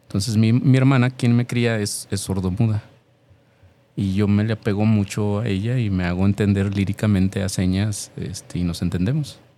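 Keeping his intonation fairly even, a man speaks at a moderate pace in a fairly low pitch. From Mexico, Jalisco (Tlaquepaque). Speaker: mime performer. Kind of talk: interview.

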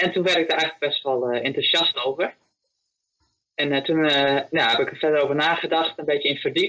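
Speaking at a fairly quick pace, a man with a fairly high pitch keeps his intonation fairly even and his loudness very even. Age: 20s. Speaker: volunteer, vegetable grower. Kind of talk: interview. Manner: hesitant, many fillers.

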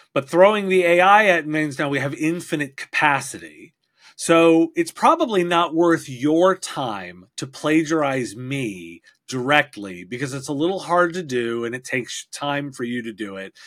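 A man with a normal speaking voice talks at a moderate pace and fairly high pitch, with lively intonation and big swings in loudness. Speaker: podcaster and IT industry expert. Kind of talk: casual interview conversation. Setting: video call.

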